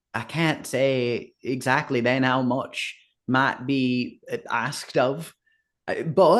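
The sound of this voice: Over a quiet background, the reading voice sounds unforced.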